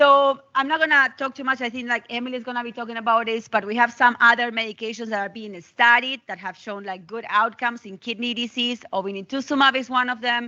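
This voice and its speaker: A woman with a high pitch talks at a very fast pace with fairly even intonation and hardly any pauses. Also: big swings in loudness. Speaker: physician. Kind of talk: lecture.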